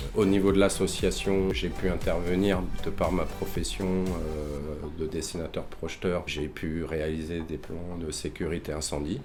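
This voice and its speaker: With audible room echo around him, a man speaks at a very deep, low pitch with ordinary pitch variation. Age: 40s. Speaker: association volunteer, draftsman. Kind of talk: interview testimony. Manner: hesitant, many filler sounds.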